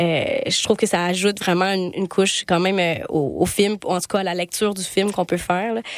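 This woman talks fairly quickly at a medium pitch with monotone, flat intonation. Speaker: podcast host and festival programmer. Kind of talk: casual interview chat.

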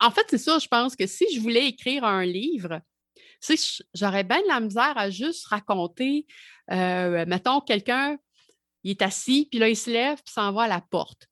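In a Quebec accent, a woman speaks at a fairly slow pace with fairly high pitch, lively intonation and long, frequent pauses, in a dry, close sound with no echo and a quiet background. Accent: Québécois French. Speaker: music journalist. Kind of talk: casual chat.

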